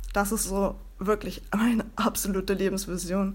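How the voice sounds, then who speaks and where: A woman's medium-pitched, fairly slow voice with monotone, flat intonation. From northern Germany (Bremen). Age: 30s. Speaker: podcast host and founder coach. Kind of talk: solo podcast monologue.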